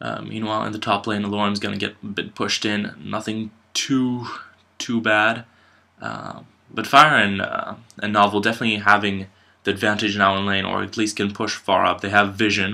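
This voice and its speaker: A man speaks with a bright, sharp tone at a fairly low pitch. His delivery is monotone and flat at a moderate pace. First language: French. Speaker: amateur esports caster. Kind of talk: live commentary. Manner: hesitant, many fillers.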